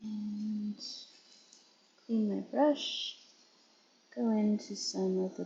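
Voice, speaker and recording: A woman speaks at a very slow pace with long, frequent pauses, her fairly high voice showing lively intonation. Background noise is noticeable. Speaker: nail artist streamer. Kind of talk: live-stream tutorial. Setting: live stream.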